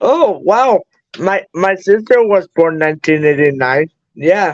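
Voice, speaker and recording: A man speaks with a Spanish accent at a fairly slow pace, his pitch high and his loudness very even. The sound is dry and close, with no echo. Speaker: guest on live stream. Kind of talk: casual chat. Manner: halting.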